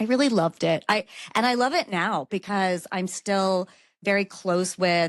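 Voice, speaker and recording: In a very clean recording with a silent background and a dry, close sound with no echo, a woman with a Mid-Atlantic American accent speaks at a fairly low pitch with ordinary pitch variation. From Maryland, Baltimore County. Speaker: lawyer. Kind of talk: podcast interview.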